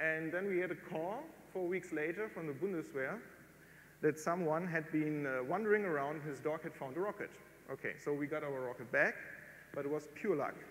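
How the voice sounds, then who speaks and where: A man's fairly quick delivery with ordinary pitch variation. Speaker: lecturer from a rocketry group. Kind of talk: lecture. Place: tent.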